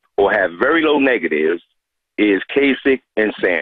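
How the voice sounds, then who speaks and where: A man with an American accent. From Newark, New Jersey. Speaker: caller. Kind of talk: call-in comment. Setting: phone call.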